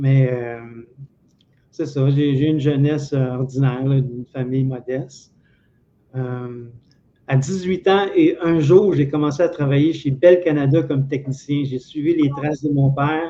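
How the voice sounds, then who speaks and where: Delivered in a Quebec accent, the speech has a fairly slow pace, fairly even intonation and long, frequent pauses. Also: man, fairly high pitch for a man. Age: 60s. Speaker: interview guest, retired telephone technician. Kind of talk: life story interview. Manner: hesitant, many fillers and repetitions.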